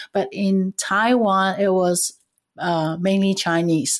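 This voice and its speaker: This woman speaks with a Cantonese accent. Her voice sits at a medium pitch. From Vietnam, raised around Asia, then US. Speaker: intercultural trainer and leadership coach. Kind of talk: interview.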